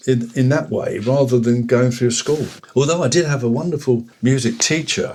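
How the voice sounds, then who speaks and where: A man speaks with a London accent at medium pitch and a moderate pace. His voice is somewhat breathy, with ordinary pitch variation. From London, England. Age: 80s+. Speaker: jazz bassist. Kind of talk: interview. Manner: halting.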